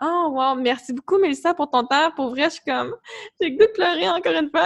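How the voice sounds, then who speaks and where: A woman is speaking. Her pitch is extremely high. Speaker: podcast host and wellness coach. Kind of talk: casual interview chat.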